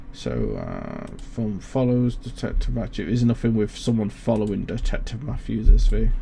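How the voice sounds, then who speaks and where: A man talks with hardly any pauses and big swings in loudness, amid noticeable background noise and audible room echo. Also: moderate pace. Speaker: streamer. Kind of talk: casual chat. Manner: halting.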